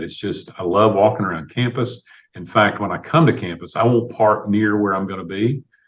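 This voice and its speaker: Fairly low-pitched male voice with a Tennessee accent at a moderate pace. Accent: US Southern (Tennessee). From Tennessee, Clarksville. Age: 60s. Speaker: city mayor, university alumnus. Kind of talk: podcast interview. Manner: conversational, filler-heavy.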